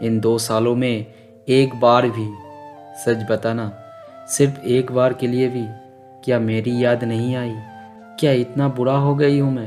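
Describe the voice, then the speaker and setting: Music plays in the background as a man speaks in a medium pitch with monotone, flat intonation. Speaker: voice-over narrator. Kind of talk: emotional sad love story monologue. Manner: slow, sorrowful.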